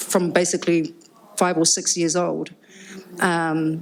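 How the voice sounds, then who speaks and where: Noticeable background noise sits behind a woman speaking at a fairly low pitch with a New Zealand accent. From New Zealand, Upper Hutt. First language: Cook Islands Māori. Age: 50s. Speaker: musician and rapper. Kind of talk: live panel conversation. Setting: live event with audience.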